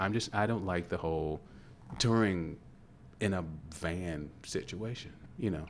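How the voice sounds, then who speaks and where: With a Kentucky accent, a man with a very deep, low pitch speaks at a fairly slow pace, leaving long, frequent pauses. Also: ordinary pitch variation. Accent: Kentucky, Louisville. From Louisville, Kentucky. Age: 50s. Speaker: actor, guest.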